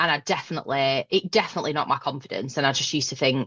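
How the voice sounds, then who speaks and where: With a Northern English accent, a woman talks at a fairly quick pace with ordinary pitch variation. The sound is dry and close with no echo, over a quiet background. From northern England, Northwest. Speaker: manager. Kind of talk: podcast interview.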